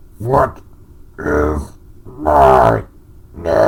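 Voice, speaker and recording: In a put-on character voice, a man growls with a gravelly, very deep, low pitch. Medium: read story.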